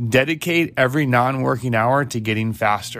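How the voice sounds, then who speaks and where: At a moderate pace, a man speaks in an animated tone with lively intonation. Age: 40s. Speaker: cycling coach and podcast host. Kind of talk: solo podcast monologue.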